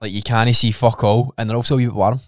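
A man with a Scottish accent talks at a very fast pace, the sound dry with no echo and the background quiet. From Scotland. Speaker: podcast co-host. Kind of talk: casual chat. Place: studio. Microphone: studio mic.

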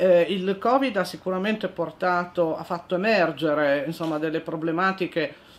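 A woman speaks, and her pitch variation is ordinary. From Italy, Turin (Piedmont). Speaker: lawyer, newly appointed equality adviser. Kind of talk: interview. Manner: hesitant, many fillers. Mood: calm, earnest.

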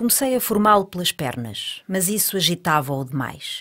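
Her fairly low pitch swings very widely in a theatrical tone, captured in a very clean recording with a silent background. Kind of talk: staged dialogue reading of surrealist verse, alternating with another voice. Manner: dreamlike, deliberate, theatrical.

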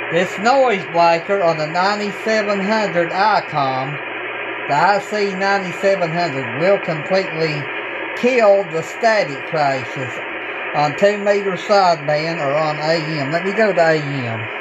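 Loud background noise sits behind a man speaking at a very slow pace. His pitch varies in an ordinary way. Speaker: amateur radio operator. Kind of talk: casual demo commentary. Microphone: phone near.

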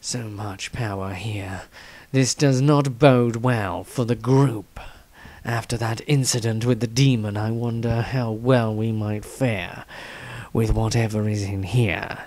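Here a man uses a put-on character voice at a medium pitch. He talks at a fairly slow pace with fairly even intonation. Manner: quiet, wary, brooding.

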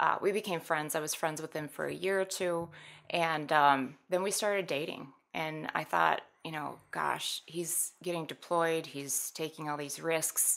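A woman with an American accent, very deep and low in pitch, fairly slow in pace, with fairly even intonation. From US Midwest (Minnesota, South Dakota, Wisconsin). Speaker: skydiver who lost her partner to veteran suicide; guest. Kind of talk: personal testimony in interview. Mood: somber, reflective. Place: studio. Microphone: studio mic.

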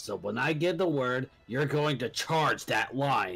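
A man puts on a character voice at a medium pitch, talking fairly slowly. Faint music plays in the background. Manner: cold, menacing.

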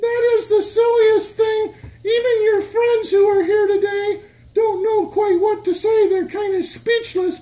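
A cartoonish character voice pitched extremely high. It moves at a fairly slow pace. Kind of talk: children's church skit. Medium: puppet show. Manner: incredulous, teasing.

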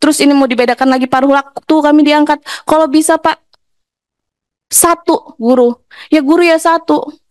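This woman talks at a fairly quick clip with a high voice, ordinary pitch movement and very even loudness, pausing long and often. The sound is dry and close, with no echo. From Lampung, Indonesia. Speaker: honorary teacher. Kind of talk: emotional plea at hearing. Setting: parliamentary hearing room. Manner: pleading, emotional.

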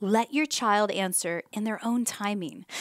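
A woman talks at a moderate pace in a dry sound with no echo. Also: quiet background. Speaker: presenter. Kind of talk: casual advice talk to camera. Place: home room. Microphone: headset.

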